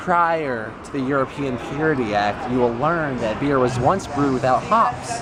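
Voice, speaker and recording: With audible room echo and noticeable background noise, a man speaks at a fairly high pitch and a moderate pace, using lively intonation and hardly any pauses. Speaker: vlogger. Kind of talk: casual vlog chat. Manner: loud, projecting; animated.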